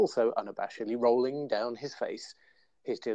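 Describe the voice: This is plain reading aloud. The text is read straight through.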